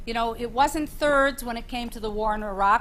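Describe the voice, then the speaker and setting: Her speaking voice is an unremarkable speaking voice, fairly high in pitch, with ordinary pitch variation and a moderate pace. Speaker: panelist on leadership. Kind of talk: panel discussion.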